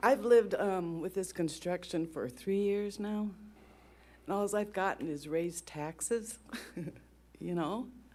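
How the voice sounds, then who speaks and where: Shaky and dark, mellow in tone, a woman's medium-pitched voice moves at a fairly slow pace with ordinary pitch variation and long, frequent pauses. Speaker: resident speaking at public comment. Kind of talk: public comment. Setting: council meeting at podium. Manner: shaky, close to tears.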